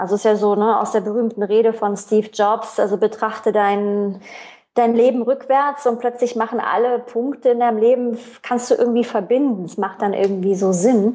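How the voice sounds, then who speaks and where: Her tone is dark and mellow, her pitch fairly high for a woman. She keeps a moderate pace and fairly even intonation. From East Germany. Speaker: entrepreneur. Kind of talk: interview conversation. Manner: many hesitations and fillers.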